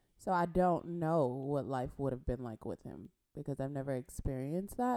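A woman with an American accent speaks at a moderate pace in a very deep, low pitch with a dark, mellow tone. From Compton, California. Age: 30s. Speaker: podcast co-host. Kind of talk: casual chat.

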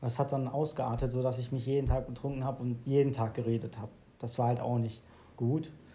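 A man's medium-pitched voice, dark, mellow tone and somewhat breathy, in a monotone, flat intonation at a fairly quick pace. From Germany. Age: 20s. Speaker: podcast host. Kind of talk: casual chat.

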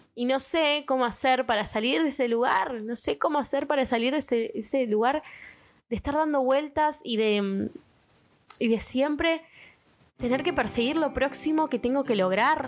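A woman's high-pitched voice holds a very even loudness throughout. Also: ordinary pitch variation, moderate pace. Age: 20s. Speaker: podcast host. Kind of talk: casual monologue.

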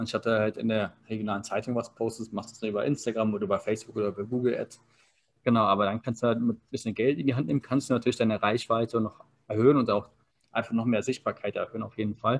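A man speaks at a very fast pace with a medium pitch and fairly even intonation. His loudness swings widely. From Berlin, Germany. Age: 30s. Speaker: online marketing consultant. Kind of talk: interview.

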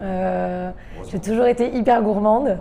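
Her medium-pitched voice has a dark, mellow tone and fairly even intonation, with audible room echo around this woman. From England and Canada. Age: 20s. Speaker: restaurant owner. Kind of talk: interview. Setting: at her restaurant.

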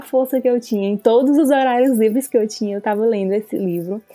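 Dark, mellow tone and ordinary pitch variation from a woman with a fairly high pitch. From Brazil, Fortaleza (Ceará). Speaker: veterinarian and new mother. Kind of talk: interview testimony.

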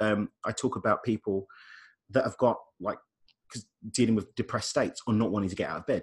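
Very fast, somewhat breathy male speech in a very clean recording with a silent background. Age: 30s. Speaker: life coach and radio host. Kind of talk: casual interview chat.

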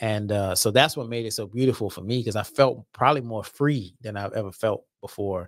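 A man in an unremarkable speaking voice talks at a fairly quick pace with hardly any pauses, big swings in loudness and ordinary pitch variation, on a very clean recording with a silent background. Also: medium pitch for a man. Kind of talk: casual conversation.

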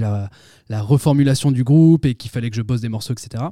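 Recorded very cleanly with a silent background and a dry, close sound with no echo, a man with a dark, mellow tone speaks at a very fast pace with fairly even intonation. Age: 20s. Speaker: rock band musician. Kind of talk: casual chat.

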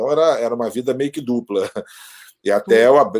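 A man's dark, mellow voice carries lively intonation, with a dry, close sound and no echo. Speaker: rap YouTuber and sports businessman. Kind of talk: casual chat. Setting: video call.

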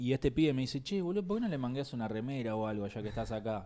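A man's medium-pitched voice in a Rioplatense accent, dark and mellow in tone with lively intonation, on a very clean recording with a silent background. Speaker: comedy podcast co-host. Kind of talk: casual chat.

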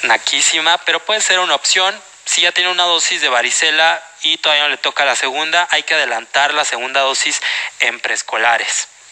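A man with a Mexican accent speaks at a fairly quick pace and fairly high pitch, with ordinary pitch variation and very even loudness. Background noise is noticeable. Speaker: medical exam prep lecturer. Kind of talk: lecture. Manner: animated.

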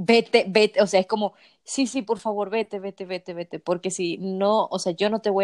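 A woman speaks in an unremarkable speaking voice with fairly even intonation, recorded dry and close with no echo against a quiet background. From Dominican Republic. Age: 20s. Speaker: fan content creator. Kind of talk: casual chat.

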